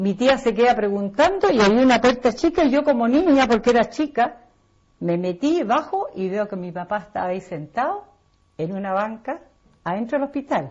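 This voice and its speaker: Very wide pitch swings in a Chilean accent. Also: woman, fairly high pitch for a woman, moderate pace. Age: 60s. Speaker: interviewee. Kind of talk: personal testimony.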